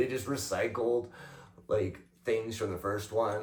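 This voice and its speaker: A man mumbles at a moderate pace. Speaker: podcast co-host. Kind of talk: casual chat. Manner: mumbling.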